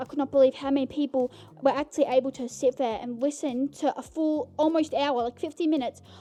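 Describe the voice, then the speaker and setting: Loud and high-pitched, a woman speaks with a dark, mellow tone and ordinary pitch variation. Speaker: podcast host. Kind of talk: casual chat. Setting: home recording in bedroom. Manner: animated.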